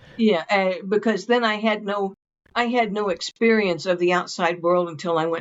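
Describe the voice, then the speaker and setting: Woman with an Ozark accent at a moderate pace. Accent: Ozark Southern American. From Ozarks. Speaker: author. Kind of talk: interview answer.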